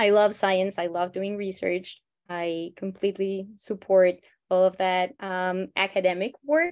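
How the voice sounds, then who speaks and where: In a Spanish accent, a woman speaks at a medium pitch and a fairly slow pace. Her intonation is fairly even, and the background is quiet. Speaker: biologist, nonprofit co-founder. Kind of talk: interview.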